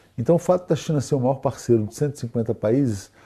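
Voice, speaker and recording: Against a quiet background, a man speaks in a dark, mellow tone at a medium pitch. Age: 50s. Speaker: international affairs expert. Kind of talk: interview discussion.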